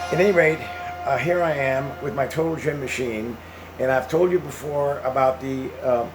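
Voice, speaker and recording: A man speaks at a moderate pace with a fairly high pitch and ordinary pitch variation. The recording has an audible room echo and noticeable background noise. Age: 80s+. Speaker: retired veteran vlogger. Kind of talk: casual monologue. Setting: home, with exercise machine. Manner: halting, repetitive.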